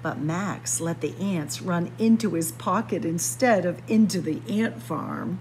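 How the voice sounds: Against clear background noise, a woman speaks at a fairly slow pace and a fairly low pitch. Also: ordinary pitch variation.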